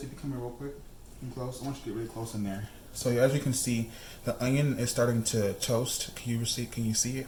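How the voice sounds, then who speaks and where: A man speaks at a medium pitch and a fairly quick pace. His intonation is fairly even, and the room has an audible echo. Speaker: cooking channel host. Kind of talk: cooking tutorial. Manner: fast; casual, chatty with fillers.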